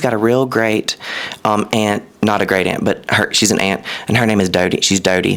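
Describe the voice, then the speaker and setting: Over noticeable background noise, a man with a Southern US accent speaks in an animated tone at a medium pitch and a fairly quick pace. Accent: mild Southern. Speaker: content creator. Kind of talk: casual chat. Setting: podcast.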